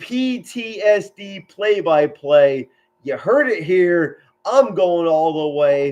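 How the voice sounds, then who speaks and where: A shouting man with a high pitch and lively intonation. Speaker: military veteran and amateur sports commentator. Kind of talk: live sports commentary. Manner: loud, yells a lot; animated.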